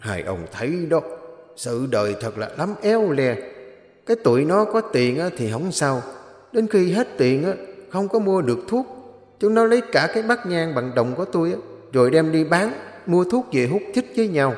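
A man uses a put-on character voice, high-pitched for a man, with very wide pitch swings. He leaves long, frequent pauses, and there is slight echo. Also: moderate pace. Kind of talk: sad, weary. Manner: sad, sighing.

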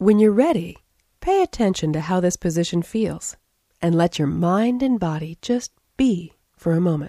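A woman speaks at a fairly low pitch with ordinary pitch variation and a dark, mellow, calm, soothing tone. The sound is dry and close, with no echo. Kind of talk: guided meditation. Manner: slow, calm, soothing; gently paced, with long pauses for counting.

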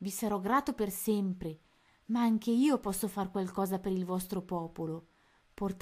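A voice reading aloud. It is an unforced reading voice.

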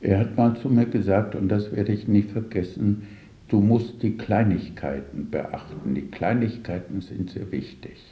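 A man's dark, mellow tone, fairly low pitch and ordinary pitch variation, fairly slow with few pauses, in audible room echo

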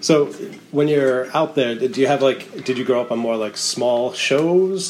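Moderate pace with noticeable background noise. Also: man. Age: 30s. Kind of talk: casual chat.

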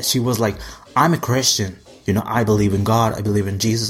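Against noticeable background noise, a man with a fairly low pitch speaks in an animated tone with ordinary pitch variation. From Mexico. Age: 20s. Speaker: podcast host, singer-songwriter. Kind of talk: casual monologue.

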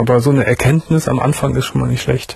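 A man speaks at a fast pace in a medium pitch, his slightly mellow tone carrying a husky, rough edge and vocal fry, with fairly even intonation.

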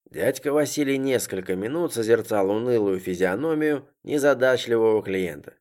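Lively intonation colors the reading aloud, done in a natural voice.

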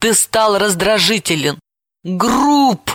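A fairly slow put-on character voice at a fairly high pitch. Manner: hissing, reproachful.

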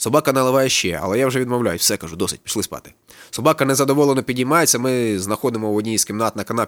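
A passage is read aloud in a natural voice.

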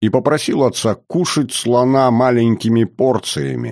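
A natural reading voice carries the recording.

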